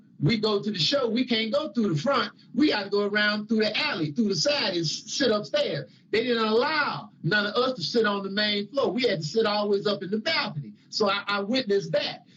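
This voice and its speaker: Amid noticeable background noise, a man with a high pitch talks at a fairly quick pace with hardly any pauses and lively intonation. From Chicago, US Midwest. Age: 60s. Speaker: religious teacher. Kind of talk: testimony. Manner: conversational.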